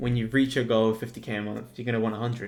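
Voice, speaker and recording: With a British accent, the man talks at a medium pitch. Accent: UK. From Spain. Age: 20s. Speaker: entrepreneur and video editor. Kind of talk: casual vlog monologue. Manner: animated.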